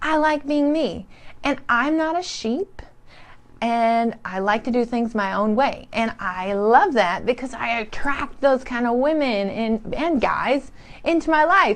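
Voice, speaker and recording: Loud and with an energetic, excited tone, a woman with a high pitch speaks at a fairly slow pace. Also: lively intonation. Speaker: motivational speaker / live streamer. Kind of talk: live stream talk to viewers. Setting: live online stream.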